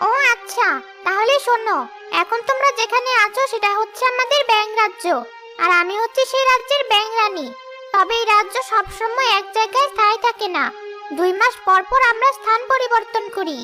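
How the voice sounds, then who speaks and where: Over loud music in the background, a female-sounding cartoonish character voice speaks at a moderate pace with an extremely high pitch. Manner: gentle, dignified.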